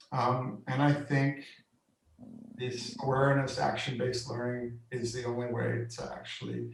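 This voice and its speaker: At a very slow pace, a man speaks at medium pitch with audible room echo. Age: 60s. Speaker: workshop facilitator. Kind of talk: interview on video call. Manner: halting, many fillers.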